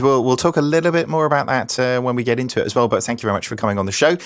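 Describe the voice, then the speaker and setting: Very fast, a man with a Norwich accent speaks at medium pitch with ordinary pitch variation. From England, Norwich. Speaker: podcast host. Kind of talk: podcast panel introductions.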